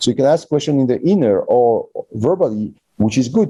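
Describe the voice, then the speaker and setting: A man speaks in a French accent at a medium pitch. His dark, mellow tone moves through very wide pitch swings. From France. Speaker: physician and manual therapy teacher. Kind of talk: interview. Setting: online call. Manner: speeds up when passionate.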